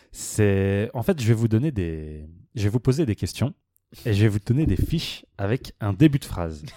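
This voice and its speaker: A man's dark, mellow tone at a fairly low pitch, lively in intonation, on a very clean recording with a silent background. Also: moderate pace, dry, close sound with no echo. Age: 20s. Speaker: podcast co-host. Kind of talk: casual chat.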